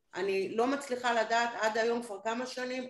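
Fairly high female voice, moderately paced, with room echo clearly audible. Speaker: lecturer. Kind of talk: questions in online training. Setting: video call. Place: home room. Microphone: video call.

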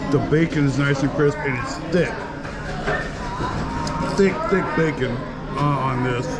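Clear music sounds behind the voice. A man speaks at a moderate pace. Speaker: food vlogger. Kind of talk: casual vlog chat. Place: cafe. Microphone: phone near.

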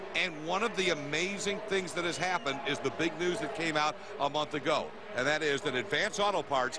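This man's fairly high voice comes at a moderate pace over noticeable background noise, the sound dry with no echo. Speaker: TV play-by-play commentator. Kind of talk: live TV sports commentary, hyped play-by-play. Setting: broadcast booth in a packed stadium. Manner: energetic, hype-building showman; punchy promotional delivery, repeating network plugs.

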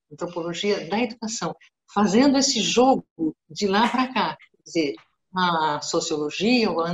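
Music plays in the background. The speech has lively intonation and a moderate pace. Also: woman. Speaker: guest. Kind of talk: lecture-style talk in a webinar. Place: home room. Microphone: video call.

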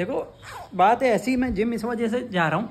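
Delivered at a moderate pace, the speech has ordinary pitch variation. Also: man, extremely high pitch for a man.

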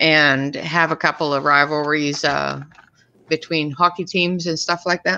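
Her tone is bright and sharp, at a fairly low pitch for a woman. The intonation stays fairly even. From Canada. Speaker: coloring channel co-host. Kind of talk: casual chat. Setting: video call. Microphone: video call.

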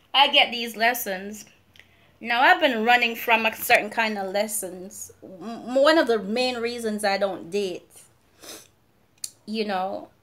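Fairly slow delivery from a woman, her pitch varying in an ordinary way. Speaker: vlogger. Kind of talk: casual vlog chat. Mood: animated, sassy venting. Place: home room. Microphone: phone near.

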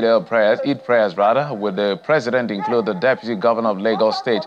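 Noticeable background noise behind a very fast-talking man. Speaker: news anchor. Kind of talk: news reading. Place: studio. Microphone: lapel.

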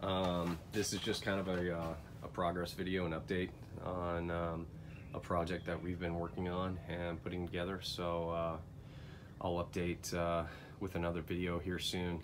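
A man's very deep, low voice, monotone and flat, at a fairly slow pace with very even loudness over noticeable background noise. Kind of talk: casual walkthrough tour. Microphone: phone near.

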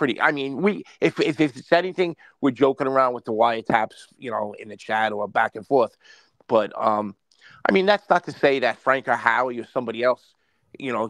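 A man talks at a fairly quick pace with ordinary pitch variation, the sound dry with no echo over a quiet background. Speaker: caller. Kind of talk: casual chat. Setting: video call. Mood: joking, banter. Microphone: video call.

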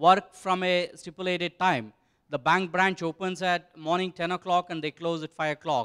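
A man speaks at a moderate pace with a high voice against a quiet background. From India. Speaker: tech company executive; conference presenter. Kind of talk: conference presentation. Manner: halting, many fillers. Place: hall. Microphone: handheld.

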